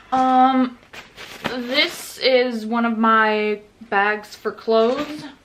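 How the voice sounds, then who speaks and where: Against noticeable background noise, a woman speaks at a very slow pace in a high pitch with fairly even intonation. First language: Norwegian. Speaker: vlogger. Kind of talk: casual vlog packing walkthrough.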